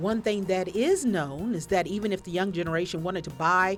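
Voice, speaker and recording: A woman talks at a fairly quick pace with a medium pitch. Music plays in the background. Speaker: professor. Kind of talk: documentary narration.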